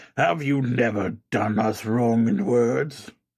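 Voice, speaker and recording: A man puts on a raspy character voice and delivers his lines fairly slowly. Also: medium pitch for a man. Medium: read story. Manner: solemn, grave.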